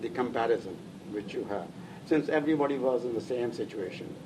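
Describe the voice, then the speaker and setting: There is noticeable noise in the background. Over it, a man speaks fairly quickly. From northern India (Lahore, then Delhi). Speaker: immigrant interviewee. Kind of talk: oral history interview. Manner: halting, many fillers.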